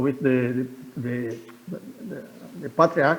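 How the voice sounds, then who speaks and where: A man speaks with a Portuguese accent. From Brazil, Pará state, Amazonia. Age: 70s. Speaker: retired pastor. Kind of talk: interview.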